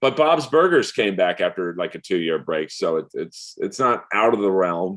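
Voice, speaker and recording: A man speaks with an American accent at a moderate pace. His pitch is very deep and low. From US West Coast, Los Angeles. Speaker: comedian and voice actor. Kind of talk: casual chat. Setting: podcast interview. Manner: halting, many fillers.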